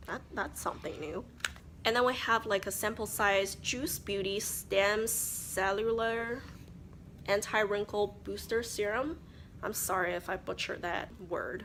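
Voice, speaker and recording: A woman with vocal fry speaks fairly slowly at medium pitch, with ordinary pitch variation. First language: not English. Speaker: beauty vlogger. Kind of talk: casual chat. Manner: chatty.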